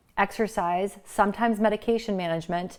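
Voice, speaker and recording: With an animated tone, a woman speaks at medium pitch with ordinary pitch variation in a very clean recording with a silent background. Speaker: integrative medicine physician. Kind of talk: casual talking-head monologue. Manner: fast.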